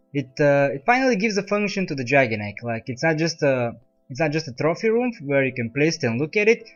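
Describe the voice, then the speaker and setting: A man's fairly high voice at a fairly quick pace, with very wide pitch swings and music in the background. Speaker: game tutorial maker. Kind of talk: game tutorial narration. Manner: mechanical-sounding.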